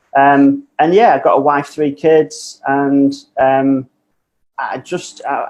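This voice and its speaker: A man with a Manchester accent and a fairly high pitch. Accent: Mancunian. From northern England, Manchester. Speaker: business owner, coaching client. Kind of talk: podcast interview.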